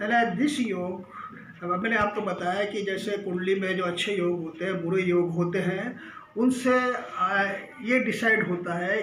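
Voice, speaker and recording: Over noticeable background noise, a man talks with a high pitch and fairly even intonation. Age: 70s. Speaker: astrologer and palmist. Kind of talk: educational astrology talk to camera.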